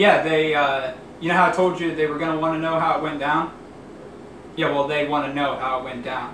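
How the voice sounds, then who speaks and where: There is audible room echo and light background noise. A man speaks with fairly even intonation. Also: fairly quick pace. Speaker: actor in a comedy skit. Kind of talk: acted one-sided phone call. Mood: ends angry after hang-up. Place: kitchen. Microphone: camera far.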